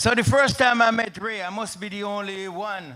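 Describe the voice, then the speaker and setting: A man raises and projects his voice in a Jamaican accent. His pitch is high, with ordinary pitch variation. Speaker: retired soldier and pastor. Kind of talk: eulogy at memorial service. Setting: memorial service with audience.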